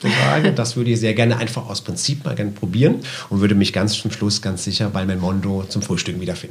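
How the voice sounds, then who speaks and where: In a room with audible echo, a man with a fairly low voice talks very fast with ordinary pitch variation. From southwest Germany, Karlsruhe. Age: 50s. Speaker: shopping center manager. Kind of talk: interview.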